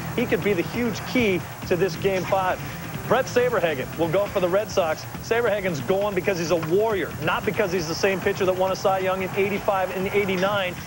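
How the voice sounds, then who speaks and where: A high-pitched man at a moderate pace, with ordinary pitch variation, dry sound with no echo, and music in the background. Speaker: baseball analyst. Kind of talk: sports analysis. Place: studio. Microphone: lapel.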